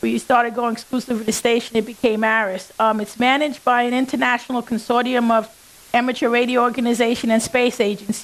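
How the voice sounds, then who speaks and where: Speaking fairly quickly in a New England accent, a woman holds a high pitch with monotone, flat intonation. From New York. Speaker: engineer and ham radio operator. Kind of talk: conference talk.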